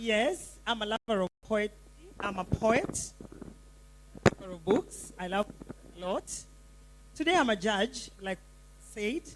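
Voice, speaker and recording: A woman with a fairly high pitch and vocal fry speaks with long, frequent pauses. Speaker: poet and judge. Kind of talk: brief introduction on stage. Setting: stage with audience.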